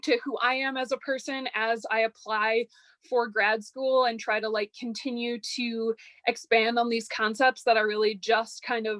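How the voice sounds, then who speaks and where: A normal speaking voice delivers the words at a moderate pace. The intonation is fairly even. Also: woman. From Chicago area, US Midwest. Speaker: undergraduate research fellow. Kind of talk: academic presentation.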